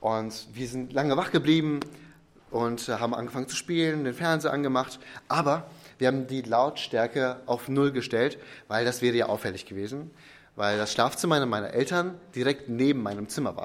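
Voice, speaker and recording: A man's normal speaking voice at medium pitch and moderate pace, with ordinary pitch variation. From Ostwestfalen, Germany. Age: 20s. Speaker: pastor. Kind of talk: sermon.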